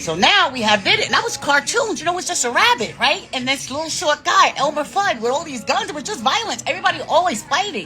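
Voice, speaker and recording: Over music in the background, a woman's high, raised, projected voice races at a very fast pace with hardly any pauses, very wide pitch swings and an animated tone. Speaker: livestreamer. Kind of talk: casual chat.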